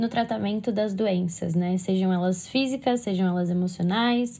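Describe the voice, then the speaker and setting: A woman's somewhat breathy voice, dark and mellow in tone, at a fairly quick pace with ordinary pitch variation. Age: 20s. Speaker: psychology student. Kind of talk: casual chat. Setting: remote call. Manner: talkative.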